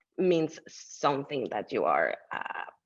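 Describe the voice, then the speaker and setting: A woman talks with a Mexican accent. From Mexico City. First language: Spanish. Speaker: artist. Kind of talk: interview. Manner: halting, with many fillers.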